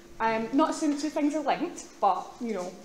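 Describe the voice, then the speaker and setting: A woman with a Glaswegian accent, very fast and with lively intonation, amid noticeable background noise and audible room echo. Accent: Glaswegian Scottish. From Scotland, Glasgow. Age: 30s. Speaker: student union officer. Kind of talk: public speech. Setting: stage with audience.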